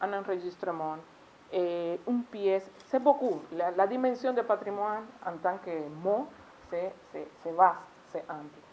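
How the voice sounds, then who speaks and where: With a Spanish accent, a woman of medium pitch speaks at a very slow pace with lively intonation, long, frequent pauses and big swings in loudness. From Cuba. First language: Spanish (speaking French). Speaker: foreign delegate at seminar. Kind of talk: conference speech. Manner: halting, with self-corrections.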